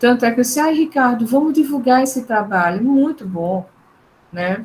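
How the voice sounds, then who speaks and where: Somewhat breathy, this voice moves at a moderate pace with lively intonation. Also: woman. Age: 60s. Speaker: psychologist, neuropsychologist, professor. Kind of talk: online talk.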